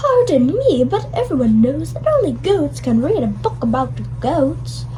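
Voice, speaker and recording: A cartoonish character voice talks at a moderate pace. Loud background noise runs underneath. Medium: puppet show. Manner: prim, cheeky.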